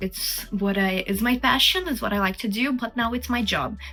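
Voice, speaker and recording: A woman's fairly high voice at a fairly slow pace, with noticeable background noise. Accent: Brazilian. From Brazil. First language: Portuguese. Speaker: artist and video creator. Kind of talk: Q&A monologue. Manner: casual, chatty.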